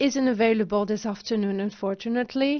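This woman has a plain, everyday voice, pitched fairly high with fairly even intonation. The background is quiet. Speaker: panel moderator. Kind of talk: conference panel moderation. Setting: stage with audience. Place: stage. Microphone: handheld.

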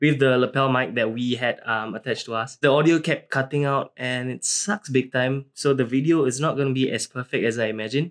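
Fairly quick delivery with hardly any pauses, fairly even intonation, and a quiet background. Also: man. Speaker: photographer vlogger. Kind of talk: casual vlog chat. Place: home room.

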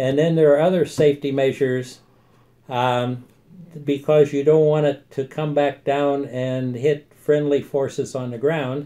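A man's fairly high-pitched voice, dark and mellow in tone, flat and monotone, at a fairly slow pace over a quiet background. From United States. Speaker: army veteran. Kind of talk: interview answer. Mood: calm, friendly explaining. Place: office. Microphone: phone near.

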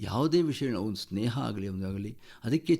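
This man's voice has a dark, mellow tone. He speaks with lively intonation. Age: 70s. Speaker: yoga teacher. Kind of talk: radio interview.

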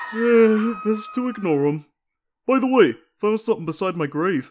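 In a very clean recording with a silent background, a man uses a put-on character voice, pitched high and delivered at a moderate pace. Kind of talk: comic dub. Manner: laid-back, drawling.

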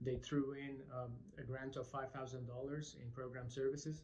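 Speaking at a moderate pace, a man sounds somewhat breathy, his intonation monotone and flat, with light background noise. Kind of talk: testimonial monologue. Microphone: phone near.

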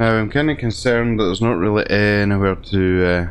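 Fairly even intonation with a British accent. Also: man. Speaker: gaming video creator. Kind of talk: role-play let's play narration. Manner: halting.

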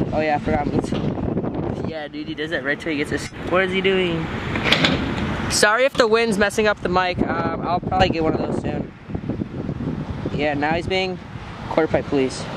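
Long, frequent pauses in a dry sound with no echo, against loud background noise. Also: moderate pace. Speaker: vlogger filming a friend. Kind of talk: casual vlog chat. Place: street. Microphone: phone near.

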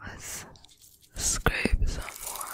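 Soft-spoken and whispering, a woman is heard in a dry sound with no echo over light background noise. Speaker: ASMR creator. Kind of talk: soft ASMR whispering. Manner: soft whisper close to the mic. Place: home room. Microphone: studio mic.

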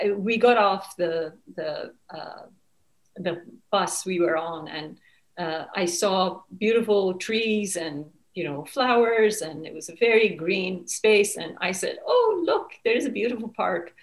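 Against a quiet background, a woman speaks at a fairly slow pace with ordinary pitch variation and big swings in loudness. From Iran (Tehran). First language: Persian. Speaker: author; guest. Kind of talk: interview. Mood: reflective, earnest. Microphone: webcam.

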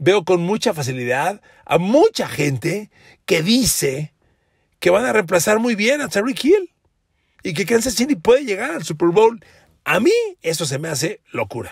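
Animated in tone, a high-pitched man talks at a fairly slow pace with very wide pitch swings and long, frequent pauses. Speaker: sports journalist. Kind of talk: solo podcast commentary.

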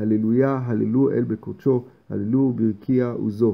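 A man's medium-pitched voice in a flat monotone. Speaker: man reading prayers aloud for his blind grandfather.

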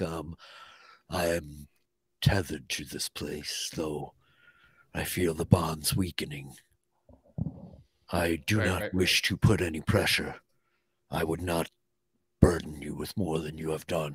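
Using a put-on character voice with very deep, low pitch, a man talks at a fairly slow pace with long, frequent pauses. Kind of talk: archaic fantasy speech. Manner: solemn, measured, formal.

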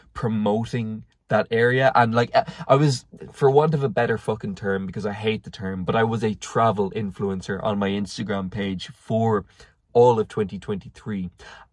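Against a quiet background, a man with a fairly low pitch talks at a moderate pace with ordinary pitch variation, the sound dry with no echo. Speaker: vlogger. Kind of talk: casual vlog chat. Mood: reflective, candid. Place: car. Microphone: phone near.

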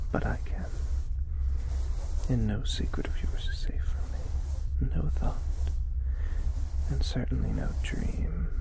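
Someone whispers very slowly in a soft-spoken way, the sound dry with no echo and noticeable background noise. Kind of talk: whispery roleplay monologue. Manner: soft whispered mystical character voice.

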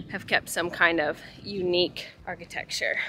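Over light background noise, a woman talks at a moderate pace in a dry recording with no echo. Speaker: travel vlogger. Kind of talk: casual vlog chat. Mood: relaxed, amused. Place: street. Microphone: phone near.

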